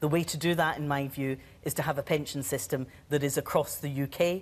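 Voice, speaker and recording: A woman with a Scottish accent and a very deep, low pitch talks at a fairly quick pace. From Scotland. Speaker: politician. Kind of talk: televised debate. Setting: TV studio with audience. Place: studio. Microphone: lapel.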